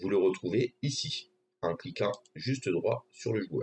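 Light background noise sits behind a man's voice. His tone is dark and mellow, and somewhat breathy. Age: 40s. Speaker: gaming streamer. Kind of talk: tutorial. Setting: live stream. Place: home room.

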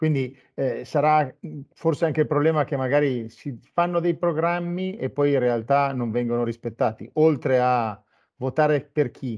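A man's fairly high voice at a fairly slow pace, with ordinary pitch variation and a quiet background. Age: 50s. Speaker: web TV host; interview host. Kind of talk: interview. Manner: halting. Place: studio.

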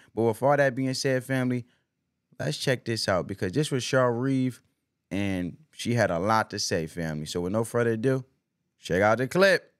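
An animated tone and lively intonation at a moderate pace over a quiet background. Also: man, medium pitch for a man. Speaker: YouTuber. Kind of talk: casual commentary. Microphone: studio mic.

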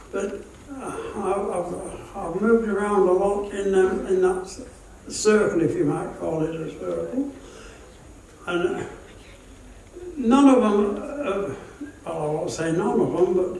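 A man with a high pitch talks at a very slow pace, leaving long, frequent pauses, with ordinary pitch variation, audible room echo and light background noise. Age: 80s+. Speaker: war veteran. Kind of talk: interview answer. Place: hall.

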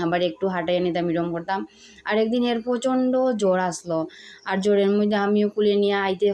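Her pitch medium, a woman speaks in a normal speaking voice. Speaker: village lifestyle vlogger and mother. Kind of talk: casual vlog narration.

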